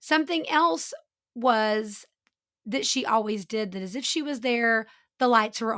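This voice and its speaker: This woman has a plain, everyday voice with a fairly high pitch. Her pace is fairly slow. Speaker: true crime podcast host. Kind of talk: true-crime narration, scripted storytelling with casual asides. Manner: measured, earnest storyteller pacing, conversational and mildly incredulous; apologetic, chatty, friendly.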